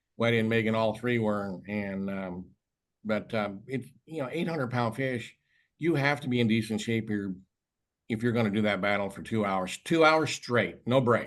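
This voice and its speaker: A man's normal speaking voice at medium pitch, with ordinary pitch variation and a quiet background. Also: moderate pace. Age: 60s. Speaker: tuna fishing expert and tournament organizer. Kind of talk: video call interview. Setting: video call.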